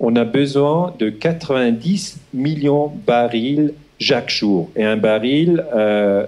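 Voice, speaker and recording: Speaking with a Swiss German accent, a man talks at a very slow pace with a medium pitch and very even loudness. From Switzerland (German-speaking). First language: Swiss German (speaking French). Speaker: historian. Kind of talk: lecture. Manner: halting, many hesitations.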